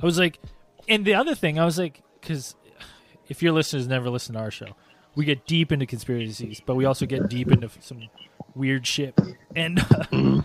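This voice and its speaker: Over noticeable background noise, a man talks at a fairly quick pace in a medium pitch with lively intonation and long, frequent pauses. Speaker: podcaster. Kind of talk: casual chat.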